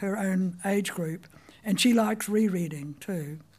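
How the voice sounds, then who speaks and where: In a very clean recording with a silent background, a woman with a New Zealand accent speaks at a fairly slow pace in a dark, mellow tone that is somewhat breathy. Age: 90s. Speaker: writer telling her life story. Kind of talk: memoir talk. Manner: storytelling, wry.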